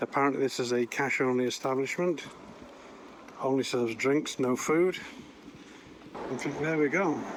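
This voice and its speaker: Pausing often and at length, a man with a British accent talks at a fairly high pitch with ordinary pitch variation. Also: moderate pace. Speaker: campsite tour vlogger. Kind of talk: guided site tour walkthrough. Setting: outdoors walking around campsite. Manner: soft-spoken, talking quietly.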